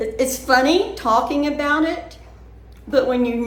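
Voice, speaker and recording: A woman with an American accent, high pitch, and lively intonation over noticeable background noise. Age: 70s. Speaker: vlogger. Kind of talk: casual chat. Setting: indoors, bedroom.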